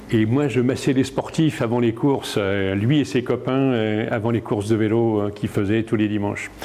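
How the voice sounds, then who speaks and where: A man's medium-pitched voice at a moderate pace, fairly even in intonation and very even in loudness, with hardly any pauses and noticeable background noise. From France, Charente (near Cognac). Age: 70s. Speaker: coach and trainer of coaches. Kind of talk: public lecture. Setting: conference hall with audience. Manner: hesitant, many filler sounds.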